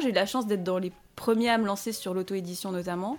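A woman speaks in a plain, everyday voice. Her pace is fairly quick and her pitch variation ordinary. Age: 20s. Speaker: self-published author and online content creator. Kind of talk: casual interview chat.

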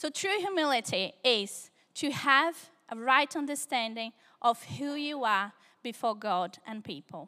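A woman with a Brazilian accent, high in pitch and bright, sharp in tone, at a fairly slow pace with very wide pitch swings, on a very clean recording with a silent background. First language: Portuguese. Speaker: preacher. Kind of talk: sermon. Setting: church service, live audience.

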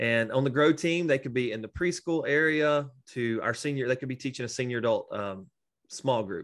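Against a quiet background, a man with a medium pitch speaks fairly quickly in a plain, everyday voice. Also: ordinary pitch variation. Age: 40s. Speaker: pastor. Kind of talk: casual interview.

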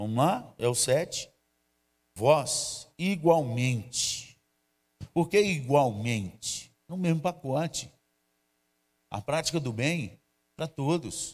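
This man talks at a very slow pace with long, frequent pauses, his fairly high voice somewhat breathy and his intonation lively. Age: 50s. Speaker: pastor. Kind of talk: sermon. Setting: church livestream.

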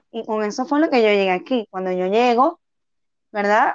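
A woman talks in a normal speaking voice at a moderate pace. Her pitch sits fairly high. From Venezuela, Tucupita. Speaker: street singer. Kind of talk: interview.

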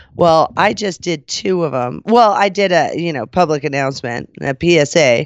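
Animated and lively in intonation, a woman speaks at a very deep, low pitch with vocal fry. The sound is dry and close with no echo, over a quiet background. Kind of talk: casual banter chat. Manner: animated, joking, laughs often.

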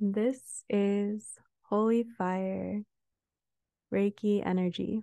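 A woman speaks at medium pitch with a dark, mellow tone. Her pace is very slow, her intonation monotone and flat, with long, frequent pauses. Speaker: meditation guide and Reiki practitioner. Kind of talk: guided meditation with Reiki.

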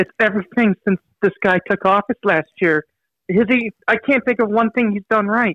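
In a quiet background, a man with a high pitch speaks at a moderate pace with fairly even intonation. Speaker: caller. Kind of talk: call-in talk radio discussion. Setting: phone call.

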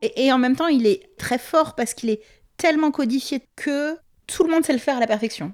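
A woman is speaking. Her pace is moderate. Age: 30s. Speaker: project director interviewed about fashion. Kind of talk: interview testimony.

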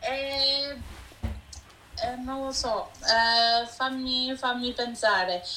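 Over noticeable background noise and audible room echo, a woman speaks very slowly in a high voice with fairly even intonation and long, frequent pauses. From Vancouver, Canada, Italian-Canadian family. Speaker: food blogger. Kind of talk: interview.

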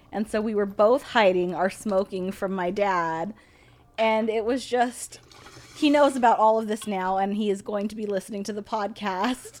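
A woman's unremarkable speaking voice, medium in pitch, with an American accent, fairly even intonation, and a moderate pace. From United States, Indian family. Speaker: cannabis podcast co-host, test lab worker. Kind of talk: casual chat. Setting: studio room, smoking.

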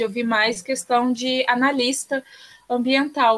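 A woman talks at a fairly slow pace. Her pitch is high and her intonation monotone and flat. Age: 20s. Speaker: environmental engineer and climate activist. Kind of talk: podcast interview.

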